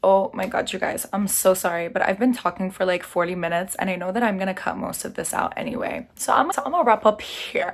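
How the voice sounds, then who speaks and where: Animated in tone, a woman talks at a fairly quick pace with a medium pitch and ordinary pitch variation. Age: 20s. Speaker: lifestyle vlogger. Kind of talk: casual chat. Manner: loud.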